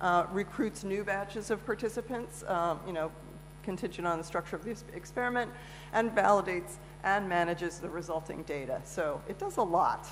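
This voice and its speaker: A woman with a fairly low pitch and ordinary pitch variation speaks at a fairly quick pace, with audible room echo. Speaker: conference speaker. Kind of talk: conference talk. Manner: fast; halting, many fillers.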